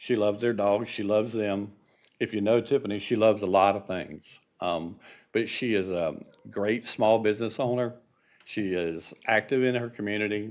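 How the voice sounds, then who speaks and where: An unremarkable speaking voice holds a fairly even intonation. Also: man. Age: 60s. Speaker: resident speaking at public comment. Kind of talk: public comment. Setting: city commission meeting.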